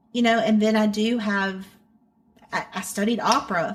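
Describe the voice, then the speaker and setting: This woman talks in a fairly high pitch at a moderate pace. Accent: Southern. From North Carolina (Hickory area). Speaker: country-pop singer. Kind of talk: interview. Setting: remote interview.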